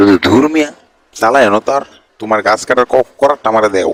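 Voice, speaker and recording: In a put-on character voice, a man sounds whiny at medium pitch and a moderate pace. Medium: cartoon. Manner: repetitive catchphrase, whiny.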